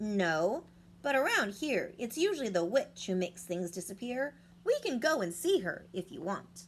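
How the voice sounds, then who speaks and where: Using a put-on character voice, a woman speaks at a moderate pace in a medium pitch over clear background noise. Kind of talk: bedtime story. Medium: read story.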